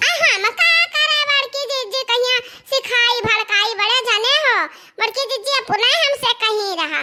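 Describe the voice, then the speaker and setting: This is a cartoonish character voice from a woman, pitched extremely high. She moves at a moderate pace with ordinary pitch variation. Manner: whiny, ingratiating.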